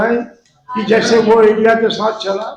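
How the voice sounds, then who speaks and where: Through audible room echo, a man with a high pitch speaks in a flat monotone. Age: 80s+. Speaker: pastor. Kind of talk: sermon.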